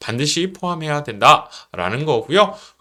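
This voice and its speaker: A man talks loudly in a confident tone. His voice sounds bright and sharp. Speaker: middle school history teacher. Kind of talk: online class instructions. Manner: confident, loud and clear.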